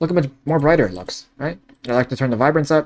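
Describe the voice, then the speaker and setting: This man speaks at a very fast pace. His pitch sits fairly high, with ordinary variation. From Canada. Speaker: online course creator. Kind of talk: tutorial. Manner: animated.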